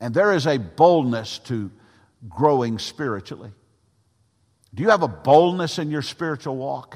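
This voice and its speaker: A man speaks at a fairly high pitch and a moderate pace, with lively intonation and big swings in loudness. He leaves long, frequent pauses, and the recording is very clean with a silent background. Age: 60s. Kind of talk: sermon. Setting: church with congregation. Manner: halting, with frequent fillers.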